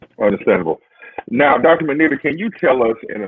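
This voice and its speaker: Lively intonation from a man at a fairly quick pace. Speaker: interview host. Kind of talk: interview. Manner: formal.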